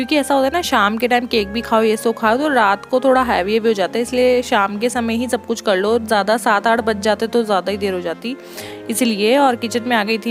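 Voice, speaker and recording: Over music in the background, the speaker talks at a moderate pace with fairly even intonation. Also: woman. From Uttarakhand, India. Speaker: lifestyle vlogger. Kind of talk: casual vlog talk to camera.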